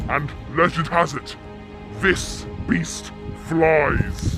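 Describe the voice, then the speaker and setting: Against clear music in the background, a man does a put-on character voice at a fairly high pitch. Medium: audio drama. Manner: gruff, folksy.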